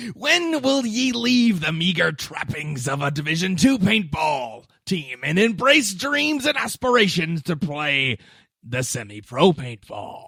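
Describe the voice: A put-on character voice at a fairly slow pace, with very wide pitch swings. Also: man, high pitch for a man.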